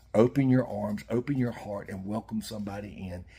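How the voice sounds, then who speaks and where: With a dark, mellow, somewhat breathy tone, a man talks at a moderate pace in a fairly low pitch with ordinary pitch variation. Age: 60s. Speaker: fishing YouTuber. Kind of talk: heartfelt monologue. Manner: halting.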